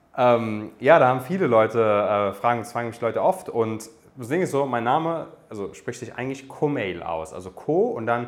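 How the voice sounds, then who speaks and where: Over noticeable background noise, a man at medium pitch talks with lively intonation and big swings in loudness. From Germany, Darmstadt (Hesse). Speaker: dating coach, podcast host. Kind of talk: Q&A monologue, coaching advice. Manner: casual with frequent fillers (ähm).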